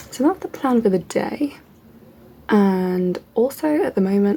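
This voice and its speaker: The voice has a dark, mellow tone and is somewhat breathy. It moves at a fairly slow pace with lively intonation. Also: woman. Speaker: PhD student vlogger. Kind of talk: vlog. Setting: at home.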